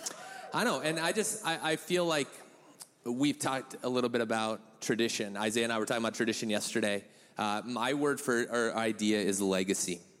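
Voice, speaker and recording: A man's normal speaking voice at medium pitch, fairly quick, with ordinary pitch variation and very even loudness. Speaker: church member giving a talk. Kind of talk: casual testimony with jokes. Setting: church with audience.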